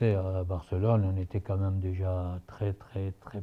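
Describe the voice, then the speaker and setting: A man speaks at a moderate pace in a very deep, low voice with a dark, mellow tone. His delivery is monotone and somewhat breathy, over a quiet background. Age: 80s+. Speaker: former football club president. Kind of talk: interview answer.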